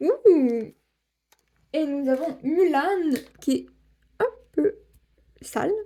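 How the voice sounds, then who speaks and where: The intonation is lively. It belongs to a woman. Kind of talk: casual toy unboxing talk to camera. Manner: stammering, hesitant.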